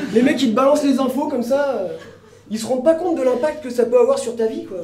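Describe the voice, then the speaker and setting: A man speaks very fast in an extremely high pitch, with ordinary pitch variation. Noticeable background noise and audible room echo fill the recording. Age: 30s. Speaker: comedian. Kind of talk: stand-up. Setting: stage with audience.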